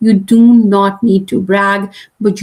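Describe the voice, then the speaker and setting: A woman's voice comes across as somewhat breathy. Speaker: career coach and class host. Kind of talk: live online class. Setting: livestream.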